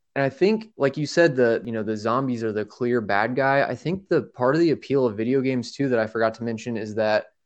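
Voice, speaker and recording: A man talks in a plain, everyday voice at a fairly quick pace, with a medium pitch, ordinary pitch variation and a quiet background. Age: 20s. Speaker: podcast co-host. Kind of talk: casual chat.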